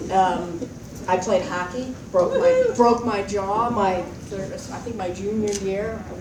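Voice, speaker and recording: A soft-spoken woman at a medium pitch is heard through audible room echo and noticeable background noise. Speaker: alumna, former student leader. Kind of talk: reunion speech. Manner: casual, rambling with fillers.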